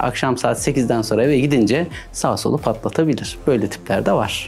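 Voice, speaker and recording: Music in the background behind a man speaking at a moderate pace, his pitch varying in an ordinary way. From Erzurum, eastern Turkey. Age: 40s. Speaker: cybersecurity expert. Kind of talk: interview.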